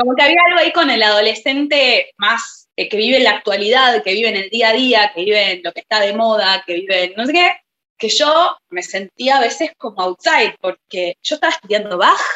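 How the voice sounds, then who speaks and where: A woman talks at a fairly quick pace with hardly any pauses, her tone bright and sharp. Her fairly high voice makes very wide pitch swings in a dry, close sound with no echo. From Buenos Aires, Argentina. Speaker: singer-songwriter and pianist. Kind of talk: interview.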